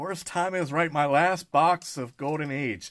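The background stays quiet. The voice belongs to a man. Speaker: card collector streamer. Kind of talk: casual live stream chat. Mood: upbeat, excited. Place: home room.

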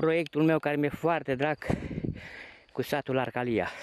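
This is a man speaking. The sound is dry with no echo. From Romania, Transylvania (Bistrița area village); Transylvania, Romania. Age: 50s. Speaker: painter. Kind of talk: video diary narration. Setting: outdoors. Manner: animated. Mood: nostalgic, warm. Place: open country. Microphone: phone near.

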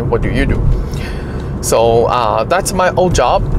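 Noticeable background noise sits behind a man whose voice sounds dry with no echo. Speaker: car channel host. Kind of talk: casual vlog chat. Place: car. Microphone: phone near.

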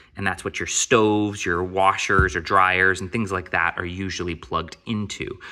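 A man speaks at a very deep, low pitch in a bright, sharp tone, monotone and flat. He keeps a moderate pace with hardly any pauses over a quiet background. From Maine. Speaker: DIY YouTuber. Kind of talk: product unboxing tutorial. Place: garage. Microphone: phone near.

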